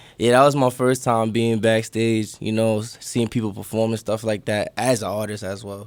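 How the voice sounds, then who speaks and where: A man with a New York accent speaks at a moderate pace in a monotone, flat intonation. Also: medium pitch for a man, hardly any pauses. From New York City, Brooklyn. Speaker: rapper. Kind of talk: casual interview.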